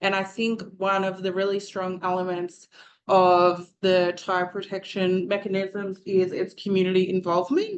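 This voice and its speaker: Her pace fairly slow, a woman talks at a medium pitch in a monotone, flat intonation. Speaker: student presenter. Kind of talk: presentation.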